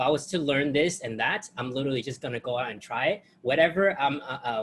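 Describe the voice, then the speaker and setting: A man with a fairly high pitch and ordinary pitch variation is heard against noticeable background noise. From outside the US. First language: not English. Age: 20s. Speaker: student testimonial giver. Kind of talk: testimony. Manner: halting.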